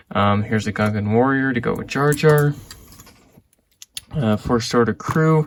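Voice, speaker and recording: A man's medium-pitched voice at a fairly slow pace, with ordinary pitch variation and long, frequent pauses. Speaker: Lego reseller vlogger. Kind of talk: casual vlog unboxing. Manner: quiet; hesitant, many fillers.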